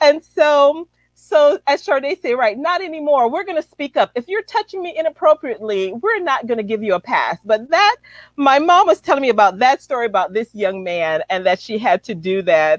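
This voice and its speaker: A woman with an American accent speaks at a moderate pace, high in pitch with very wide pitch swings. The sound is dry and close with no echo. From Chicago, US. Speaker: relationship coach. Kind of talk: casual livestream interview. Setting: livestream.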